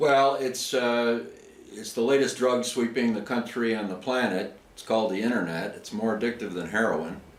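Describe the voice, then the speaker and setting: A man of medium pitch talks with ordinary pitch variation and big swings in loudness, with audible room echo and noticeable background noise. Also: moderate pace. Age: 60s. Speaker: chess player. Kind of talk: casual interview.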